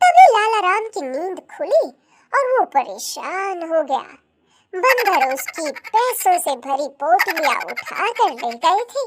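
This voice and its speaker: An extremely high, squeaky put-on character voice at a fairly slow pace. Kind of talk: children's cartoon story narration. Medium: cartoon. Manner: even, explanatory.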